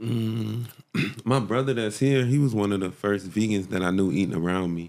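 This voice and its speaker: This man has an American accent and a normal speaking voice, pitched fairly low. He talks at a moderate pace with ordinary pitch variation. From South Florida, Hollywood. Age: 30s. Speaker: vegan chef. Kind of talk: casual interview.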